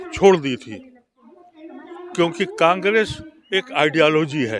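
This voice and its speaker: A man's high voice with lively intonation over noticeable background noise. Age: 70s. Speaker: former member of parliament, politician. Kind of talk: interview.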